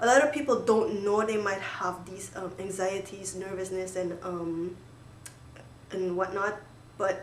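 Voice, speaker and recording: The speech comes at a fairly slow pace, with big swings in loudness and noticeable background noise. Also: woman, medium pitch for a woman. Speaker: student. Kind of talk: casual talk to camera, study tips. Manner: upbeat.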